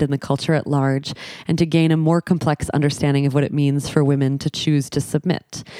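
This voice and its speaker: In a dry, close recording with no echo, a woman speaks very fast in a very deep, low pitch with a dark, mellow tone and monotone, flat intonation. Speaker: podcast host. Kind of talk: casual conversation.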